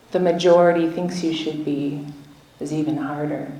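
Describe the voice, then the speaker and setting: A woman speaks at a fairly low pitch. The recording carries audible room echo and noticeable background noise. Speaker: activist and traditional healer. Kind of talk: rally speech. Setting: stage with audience. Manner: loud.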